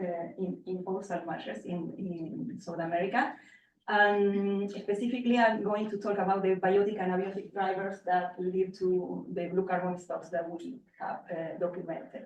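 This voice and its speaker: A woman speaks in an Spanish accent at a moderate pace. Her voice is medium in pitch with ordinary pitch variation. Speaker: marine ecologist. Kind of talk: lecture. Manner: halting, many fillers.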